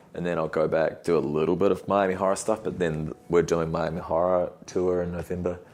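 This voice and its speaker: With a New Zealand accent, a man speaks at a fairly quick pace in a very deep, low pitch, his intonation monotone and flat, with hardly any pauses. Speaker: podcast host and musician. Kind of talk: casual chat.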